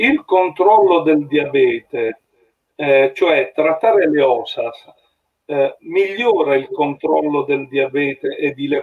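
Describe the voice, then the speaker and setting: A man speaks at a fairly high pitch. His pace is very slow. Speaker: patient association representative. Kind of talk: casual chat. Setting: video call. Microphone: video call.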